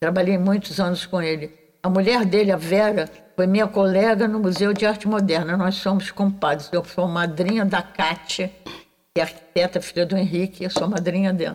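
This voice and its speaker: A woman at medium pitch and a moderate pace, with monotone, flat intonation and very even loudness. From Rio de Janeiro, Brazil (Urca). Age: 90s. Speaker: visual artist. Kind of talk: interview.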